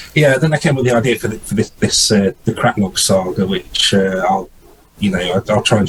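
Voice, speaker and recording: Through noticeable background noise, a man with a British accent speaks with a fairly low pitch and ordinary pitch variation. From English East Midlands, near Nottingham. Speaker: indie fantasy author. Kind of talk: interview. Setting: video call from home study. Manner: hesitant, many fillers and repeats.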